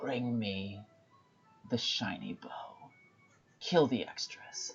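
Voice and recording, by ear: Using a put-on character voice, a man talks in a gravelly way at a very slow pace.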